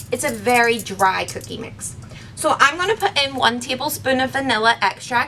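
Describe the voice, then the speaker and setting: Noticeable noise runs behind a woman talking with a fairly high voice. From Northern Ireland. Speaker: camp program director. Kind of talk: cooking tutorial to camera. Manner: friendly, casual.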